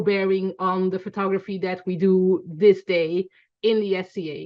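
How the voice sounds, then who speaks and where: In a Belgian accent, a woman speaks at a medium pitch. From Belgium, Antwerp. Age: 40s. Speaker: photographer teaching a class. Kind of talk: online class lecture.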